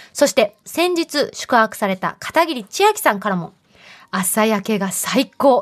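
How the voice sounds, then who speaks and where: Speaking slowly in a fairly high voice with very wide pitch swings and an animated tone, a woman is heard against a quiet background with a dry, close sound with no echo. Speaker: radio host. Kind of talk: casual chat. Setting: studio.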